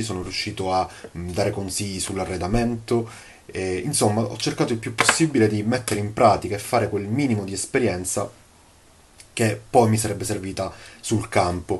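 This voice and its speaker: With fairly even intonation, a man with a fairly low pitch talks at a moderate pace. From Sicily, Palermo. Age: 20s. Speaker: course student, property manager. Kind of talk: testimonial. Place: home room. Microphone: phone near.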